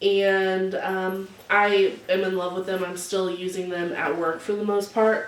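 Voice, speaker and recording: Audible room echo carries the voice of a woman speaking at a medium pitch. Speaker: beauty and lifestyle vlogger. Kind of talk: casual unboxing and show-and-tell vlog. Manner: animated; loud.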